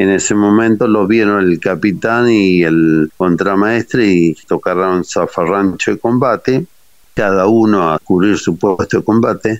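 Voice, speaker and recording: Delivery comes at a very slow pace with fairly even intonation. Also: man. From Argentina, Corrientes province, rural. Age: 60s. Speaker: war veteran. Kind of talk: interview testimony.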